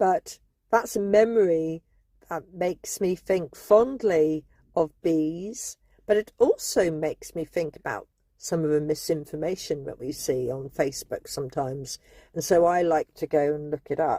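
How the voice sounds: In a dry, close recording with no echo, a woman talks at a fairly slow pace in a low pitch and a dark, mellow tone, with ordinary pitch variation.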